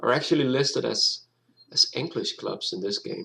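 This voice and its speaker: In a Danish accent, a man talks at a moderate pace. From Denmark. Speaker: gaming YouTuber. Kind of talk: gameplay commentary. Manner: halting, many fillers and restarts.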